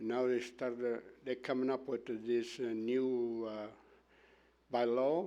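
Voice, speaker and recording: A man's dark, mellow voice at medium pitch and a fairly slow pace. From Italy. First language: Italian. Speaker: property owner speaking as delegation. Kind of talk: public delegation at council meeting. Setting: council chamber meeting. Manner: halting.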